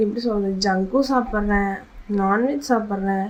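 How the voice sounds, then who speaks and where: A woman speaks with fairly even intonation. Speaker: vlogger. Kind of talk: casual vlog monologue. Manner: soft-spoken; halting.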